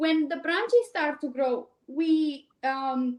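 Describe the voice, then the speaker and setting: With a Romanian accent, a woman speaks at a fairly slow pace. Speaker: cleaning business owner. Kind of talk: interview. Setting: live stream.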